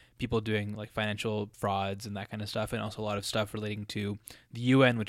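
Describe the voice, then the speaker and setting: With a General American accent, a man speaks at a fairly low pitch in a flat monotone. The recording is very clean, with a silent background. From US, Colorado. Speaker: student podcaster. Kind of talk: solo monologue. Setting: home basement. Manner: casual, many fillers and self-repeats.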